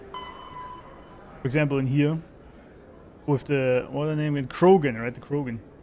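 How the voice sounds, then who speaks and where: Amid noticeable background noise, a man speaks slowly-ish at a fairly high pitch with fairly even intonation and big swings in loudness. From Germany. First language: German. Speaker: gaming streamer. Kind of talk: casual gameplay commentary.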